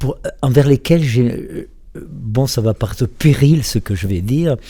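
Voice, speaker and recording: A man with a somewhat breathy, dark, mellow tone speaks at a fairly slow pace and medium pitch with ordinary pitch variation, on a very clean recording with a silent background. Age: 70s. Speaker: author and psychosociologist. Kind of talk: radio interview. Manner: halting.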